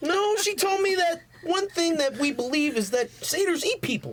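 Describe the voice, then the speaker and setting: An extremely high-pitched, put-on character voice. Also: moderate pace. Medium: actual play. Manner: nervous, halting.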